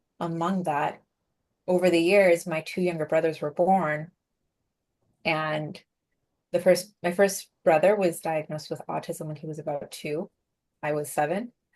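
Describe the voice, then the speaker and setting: Her fairly low-pitched voice stays in fairly even intonation at a moderate pace, as this woman shows big swings in loudness and takes long, frequent pauses. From Venezuela, raised in the US from age five. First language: Spanish. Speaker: productivity coach and keynote speaker. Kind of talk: interview. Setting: podcast interview.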